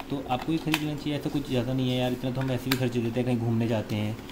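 The speech runs at a fast pace with fairly even intonation, and background noise is clearly heard. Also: man.

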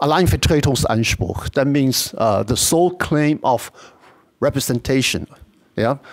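A man with a Chinese accent talks very slowly in a fairly high pitch. His intonation is lively. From Taiwan. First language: Mandarin Chinese. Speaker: university professor, conference speaker. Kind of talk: academic lecture. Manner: halting.

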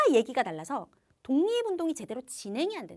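Animated in tone, a woman talks at a fairly quick pace with very wide pitch swings. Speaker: history teacher. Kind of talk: lecture.

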